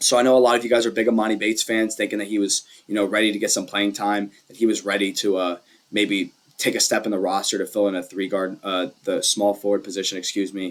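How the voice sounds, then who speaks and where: The speaker is a man, talking at a very fast pace. His intonation is monotone and flat. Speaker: sports YouTuber, basketball commentator. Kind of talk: casual monologue analysis. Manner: hesitant, many fillers.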